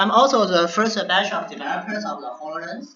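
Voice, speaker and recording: A man talks with a strong non-native accent. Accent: heavy non-native English. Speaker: lecturer, VR hardware developer. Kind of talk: lecture. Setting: classroom session, screen recording. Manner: slow.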